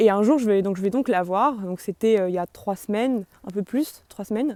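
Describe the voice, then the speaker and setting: A woman's medium-pitched voice with a dark, mellow tone, ordinary pitch variation, and a dry, close sound with no echo. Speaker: video blogger. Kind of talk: testimony. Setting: psychiatric clinic. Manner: fast; hesitant.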